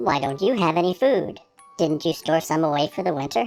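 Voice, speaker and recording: A put-on character voice at a middle pitch and fairly quick pace, with faint music in the background. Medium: read story. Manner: formal, earnest.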